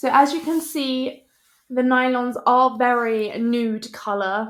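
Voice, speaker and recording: This woman has a high-pitched voice and a British accent. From United Kingdom. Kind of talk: casual product review to camera. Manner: upbeat, chatty.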